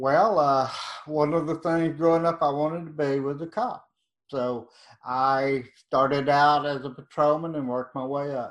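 Speaking with an East Texas accent, a man talks at a moderate pace and a fairly high pitch. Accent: East Texas Southern. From East Texas, Nacogdoches. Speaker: true crime author. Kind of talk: interview.

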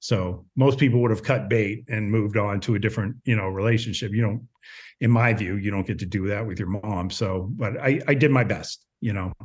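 Over a quiet background, a man with an American accent speaks fairly quickly in a fairly low, somewhat breathy voice with ordinary pitch variation. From small town in Ohio. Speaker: podcaster. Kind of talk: casual chat.

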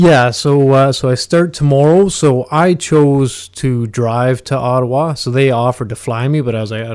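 A man with a Canadian accent and an unremarkable speaking voice, medium pitch, ordinary pitch variation and a moderate pace. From Ontario, Canada (Huntsville area). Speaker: mixed martial arts fighter. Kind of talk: interview.

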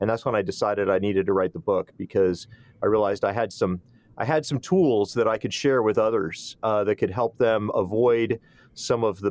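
Against a quiet background, a man speaks at a moderate pace. His pitch is fairly low, with ordinary pitch variation. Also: dry, close sound with no echo. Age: 50s. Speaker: author. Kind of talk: interview. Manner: halting.

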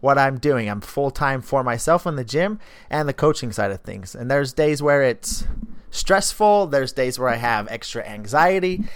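This is a normal speaking voice at a moderate pace. Its intonation is lively. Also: man. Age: 20s. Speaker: fitness coach and podcast host. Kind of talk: casual solo monologue.

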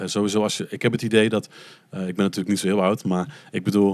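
On a very clean recording with a silent background, a man with an unremarkable speaking voice talks at a moderate pace, his fairly low pitch held in fairly even intonation. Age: 20s. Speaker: podcast guest, adoptee from Colombia. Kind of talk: casual chat.

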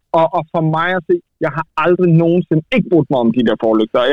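This man has a normal speaking voice with a fairly high pitch. He talks at a fairly slow pace. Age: 30s. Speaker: car journalist. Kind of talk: casual chat.

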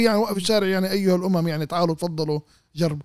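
A high-pitched man, animated and very fast, with ordinary pitch variation. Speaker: politician and political activist. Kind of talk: political interview.

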